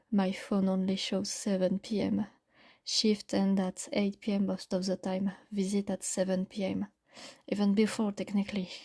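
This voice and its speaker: A woman speaks in a non-native accent at a moderate pace, her medium-pitched voice somewhat breathy and her intonation monotone and flat. The recording is very clean, with a silent background and a dry, close sound with no echo. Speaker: audio storyteller. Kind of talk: first-person horror story narration.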